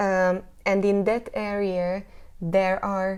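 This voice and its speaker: A woman with a Hungarian accent, a medium pitch and a dark, mellow tone, on a very clean recording with a silent background. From Hungary, north of Budapest. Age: 30s. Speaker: jazz singer. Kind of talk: interview. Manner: halting.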